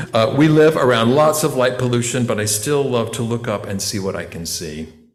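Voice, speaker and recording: Lively intonation marks this man's American-accented speech, delivered at a fairly quick pace with audible room echo. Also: medium pitch for a man. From western North Carolina mountains. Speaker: voice teacher giving a lay sermon. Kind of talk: sermon. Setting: church.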